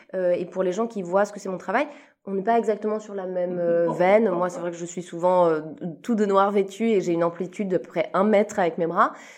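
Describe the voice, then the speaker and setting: A woman speaks fairly quickly in a normal speaking voice, at medium pitch with fairly even intonation. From Switzerland. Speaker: comedian. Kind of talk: casual chat. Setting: backstage after a show.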